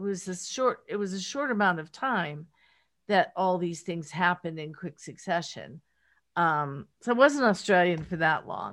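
A fairly low-pitched woman's voice with lively intonation, big swings in loudness and a moderate pace. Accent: American. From rural Pennsylvania, Pittsburgh area. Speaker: memoir author, entertainment executive. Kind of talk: interview. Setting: remote call. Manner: halting, many fillers and restarts.

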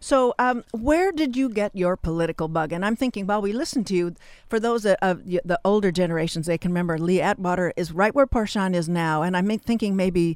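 A woman with a plain, everyday voice, medium in pitch, fairly quick and lively in intonation, on a very clean recording with a silent background. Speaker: community radio host. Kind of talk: radio interview. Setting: studio.

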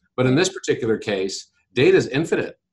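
A man's somewhat breathy, medium-pitched voice at a fairly quick pace. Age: 50s. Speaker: tech company founder and CEO. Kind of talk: interview. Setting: radio studio.

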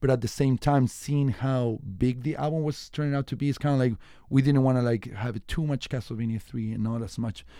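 A man talks at a fairly quick pace. His tone is dark and mellow, with fairly even intonation. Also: medium pitch for a man. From Chile. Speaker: musician. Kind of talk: radio interview. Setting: radio studio. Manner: halting.

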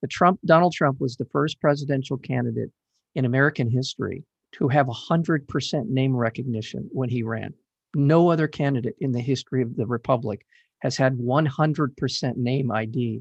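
A man's somewhat breathy voice, medium in pitch, with ordinary pitch variation. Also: moderate pace, dry, close sound with no echo, quiet background. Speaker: radio host. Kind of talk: interview. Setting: studio.

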